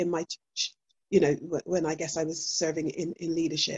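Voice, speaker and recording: A somewhat breathy female voice. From Bristol, England. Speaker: church minister. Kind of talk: casual chat.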